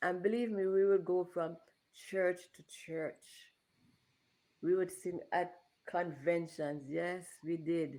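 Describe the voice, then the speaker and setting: At a very slow pace with long, frequent pauses, a woman speaks in a fairly low pitch with a dark, mellow tone and fairly even intonation. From Jamaica. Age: 60s. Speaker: interview guest. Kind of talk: interview.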